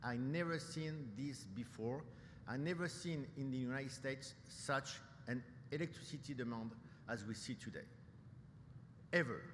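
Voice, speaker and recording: A man with a somewhat breathy voice speaks at a medium pitch and a moderate pace, with ordinary pitch variation. Long, frequent pauses break up his speech, and audible room echo is present. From France, Paris. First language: French. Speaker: nuclear industry executive, keynote speaker. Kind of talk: keynote speech. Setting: conference stage with audience. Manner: hesitant, many fillers and repetitions.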